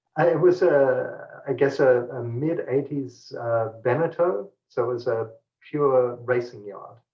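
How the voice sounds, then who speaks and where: A man speaks at a fairly slow pace with ordinary pitch variation. His voice is somewhat breathy. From New Guinea. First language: Pidgin. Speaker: tech company executive. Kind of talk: interview.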